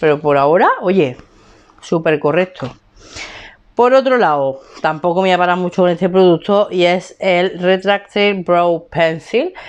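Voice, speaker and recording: An animated woman at a fairly low pitch, with ordinary pitch variation and a fairly slow pace. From Spain. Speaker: beauty vlogger. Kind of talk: casual vlog chat. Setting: home room. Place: home room. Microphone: lapel.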